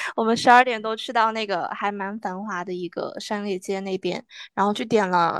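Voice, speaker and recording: The speaker has a plain, everyday voice and fairly even intonation at a moderate pace. The sound is dry and close with no echo, and the background is quiet. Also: woman, medium pitch for a woman. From northwest China. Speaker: graduate student and podcast host. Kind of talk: casual chat; self-introduction.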